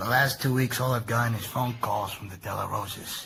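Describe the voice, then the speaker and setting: A man's raspy, put-on character voice at a medium pitch, fairly quick in pace with fairly even intonation. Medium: audio drama. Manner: pressing, cajoling.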